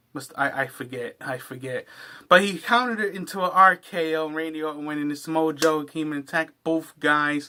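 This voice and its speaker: At a fairly quick pace, a man with a fairly high pitch and a bright, sharp tone speaks with big swings in loudness and ordinary pitch variation. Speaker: wrestling reaction youtuber. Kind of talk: casual video commentary. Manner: halting, stumbling over words.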